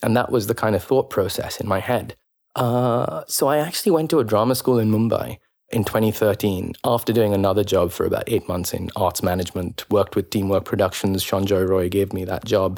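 Speaking at a fairly quick pace, a man has an unremarkable speaking voice. It sits fairly low in pitch with ordinary pitch variation. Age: young. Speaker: actor. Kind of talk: casual chat.

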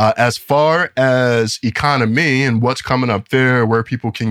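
Recorded very cleanly against a silent background, a man speaks at a medium pitch with a dry, close sound and no echo. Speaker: podcast host. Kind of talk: casual chat.

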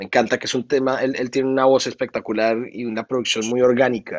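The man's intonation is monotone and flat. He talks at a fairly quick pace in a medium pitch. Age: 30s. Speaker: music producer and singer. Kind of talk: interview.

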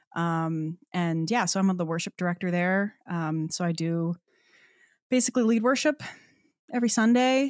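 A woman's fairly low voice with lively intonation, moderate pace, and long, frequent pauses, dry and close with no echo, on a very clean recording with a silent background. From Newfoundland, Canada. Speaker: singer-songwriter and worship leader. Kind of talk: casual chat. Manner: animated.

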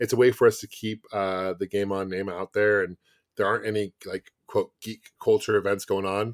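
Fairly low in pitch, a man speaks at a fairly quick pace. The recording is very clean with a silent background and a dry, close sound with no echo. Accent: American. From US Pacific Northwest, Bellevue near Seattle. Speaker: gaming YouTuber and game company founder. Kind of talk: casual interview chat.

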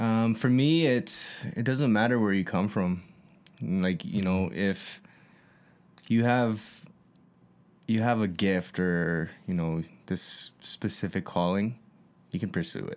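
In a Canadian accent, a man with a fairly low pitch speaks at a very slow pace with long, frequent pauses, on a very clean recording with a silent background. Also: ordinary pitch variation. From Calgary, Canada (Northeast). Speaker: music producer and former youth addictions counselor. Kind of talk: casual chat.

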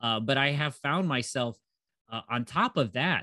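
A man with a Midwestern American accent and medium pitch, at a moderate pace, with a dry, close sound, no echo, and a quiet background. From US Midwest (Northeast Ohio). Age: 40s. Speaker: cannabis business educator. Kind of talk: casual interview. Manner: hesitant with many filler words.

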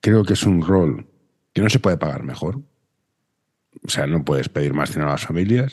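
With a Catalan accent, a man talks at a moderate pace in a very deep, low pitch with vocal fry, lively intonation, and long, frequent pauses. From Barcelona. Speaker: podcast host. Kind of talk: casual chat.

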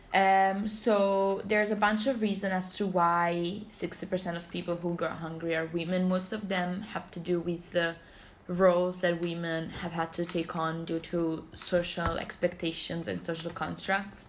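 In an Italian accent, a woman speaks at a fairly low pitch and a fairly slow pace, with monotone, flat intonation and hardly any pauses. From Italy, Naples. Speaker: student society member presenting research. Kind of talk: casual chat. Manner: flat when reading statistics.

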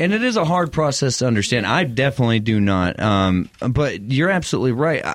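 With a West Texas accent, a man talks at a fairly quick pace with hardly any pauses, medium pitch, very wide pitch swings and very even loudness. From West Texas (Midland). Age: 30s. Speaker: podcast host. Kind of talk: scripted show intro; casual interview.

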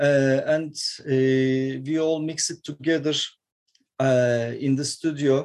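A man's voice, dark and mellow in tone, holds a monotone, flat intonation. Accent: Turkish. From Turkey, Istanbul. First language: Turkish. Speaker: metal guitarist. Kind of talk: interview. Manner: halting.

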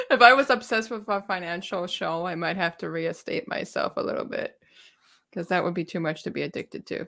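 A woman speaks very fast with a Montreal accent, her pitch medium and her tone bright and sharp. There's vocal fry in her voice, and her pitch varies in an ordinary way. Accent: Canadian English, Montreal Anglophone. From Montreal, Quebec (Anglophone). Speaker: YouTuber and gig delivery worker. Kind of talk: casual chat.

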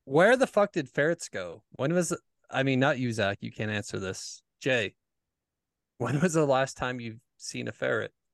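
Over a quiet background, a man with an unremarkable speaking voice talks at a moderate pace, his medium pitch carried by lively intonation. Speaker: podcast co-host. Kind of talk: casual chat.

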